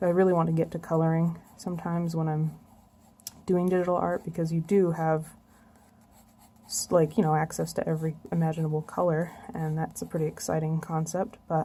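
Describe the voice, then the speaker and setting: A soft-spoken woman with a dark, mellow tone and fairly low pitch talks at a fairly quick pace in a somewhat breathy, monotone, flat delivery broken by long, frequent pauses. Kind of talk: casual talk to camera while drawing. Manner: soft-spoken, quiet. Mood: a bit nervous, self-conscious. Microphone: phone near.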